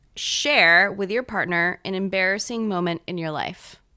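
On a very clean recording with a silent background, a woman with an American accent and a normal speaking voice talks at a fairly slow pace, with a medium pitch and ordinary pitch variation. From Gainesville, Florida. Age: 20s. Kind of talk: casual chat.

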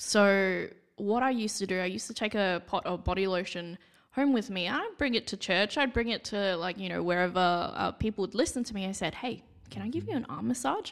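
Captured in a very clean recording with a silent background, a speaker with an Australian accent talks at a fairly quick pace with ordinary pitch variation. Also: woman, medium pitch for a woman. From Perth, Western Australia. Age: 20s. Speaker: retail store manager. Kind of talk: casual chat.

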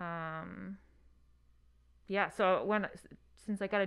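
A woman with an American accent speaks at a very slow pace, her medium pitch showing ordinary variation. The recording is very clean, with a silent background. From Hudson Valley, New York. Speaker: theater prop supervisor. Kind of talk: interview answers. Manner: hesitant, many fillers.

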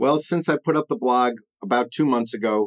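A man with an American accent talks at a moderate pace in an unremarkable speaking voice. His medium pitch varies in an ordinary way, and the sound is dry and close with no echo. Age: 50s. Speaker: podcast host and paint retailer. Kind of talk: solo podcast monologue.

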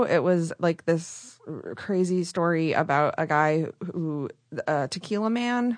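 Her voice is an unremarkable speaking voice, a woman at medium pitch with ordinary pitch variation. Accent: American. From Michigan, rural area near Flint. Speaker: podcast host and radio producer. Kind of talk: casual interview chat. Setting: podcast studio.

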